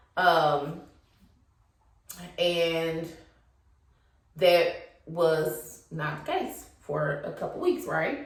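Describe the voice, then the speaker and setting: The woman's speech is very slow, with long, frequent pauses. Room echo is audible. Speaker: YouTuber. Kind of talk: casual monologue. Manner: hesitant.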